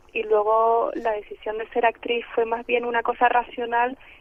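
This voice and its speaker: This woman's pitch is fairly high. She speaks at a moderate pace. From Canary Islands (El Hierro). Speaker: actress. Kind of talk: radio interview.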